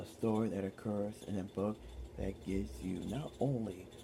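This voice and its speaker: A man speaks at a very slow pace with vocal fry. His pitch variation is ordinary. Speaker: ASMR storyteller. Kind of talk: ASMR casual talk to camera. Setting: home recording with fan noise.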